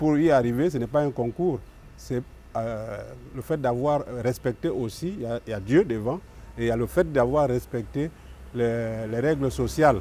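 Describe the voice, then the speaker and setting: A man talks at a moderate pace in a dark, mellow, medium-pitched voice with ordinary pitch variation and long, frequent pauses. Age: 60s. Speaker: consumer association president. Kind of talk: talk show discussion.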